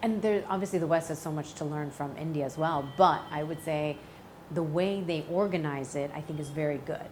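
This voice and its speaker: Speaking fairly quickly with an American accent, a woman has a very deep, low pitch and fairly even intonation, with audible room echo and noticeable background noise. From US Midwest (St. Louis, Missouri). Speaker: actress. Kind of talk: interview. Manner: casual, many fillers.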